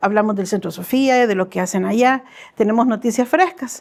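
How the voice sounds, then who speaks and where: On a very clean recording with a silent background, a woman speaks at a fairly high pitch with ordinary pitch variation in an unremarkable speaking voice. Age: 60s. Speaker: church missions volunteer. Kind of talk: testimony interview.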